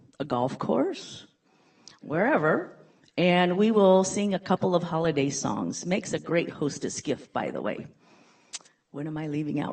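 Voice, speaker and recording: Lively intonation at a moderate pace. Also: woman. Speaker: chorus group past president. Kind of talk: public comment at meeting. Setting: county board meeting. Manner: loud.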